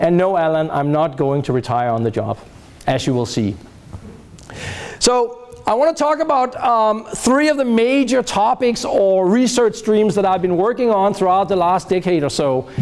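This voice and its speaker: Over noticeable background noise, a man with a high pitch speaks at a moderate pace, his loudness very even while his pitch swings very widely. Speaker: professor. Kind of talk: lecture.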